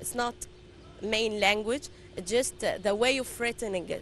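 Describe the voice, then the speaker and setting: With an Arabic accent, a woman speaks at a fairly high pitch with ordinary pitch variation. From Egypt. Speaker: tour guide. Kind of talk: interview. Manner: halting.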